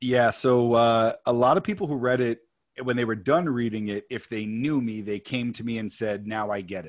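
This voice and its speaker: This very clean recording with a silent background has a man with an American accent and a plain, everyday voice, at medium pitch, moderate pace and ordinary pitch variation. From New York. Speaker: author and producer. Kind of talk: interview.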